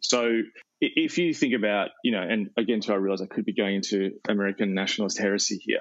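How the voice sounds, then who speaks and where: A man with an Australian accent talks very fast at a fairly low pitch, his loudness very even. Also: ordinary pitch variation. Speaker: pastor and author. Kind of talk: interview conversation.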